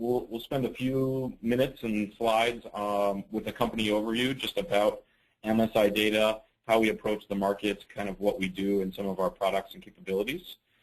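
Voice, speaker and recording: This man has a normal speaking voice at a medium pitch with ordinary pitch variation. He talks at a fairly quick pace. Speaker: software partner program manager. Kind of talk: webinar presentation. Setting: webinar.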